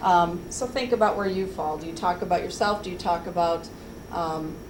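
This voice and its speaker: A woman speaks with ordinary pitch variation amid noticeable background noise and audible room echo. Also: fairly low pitch for a woman. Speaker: HR trainer. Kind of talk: workplace training presentation. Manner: fast.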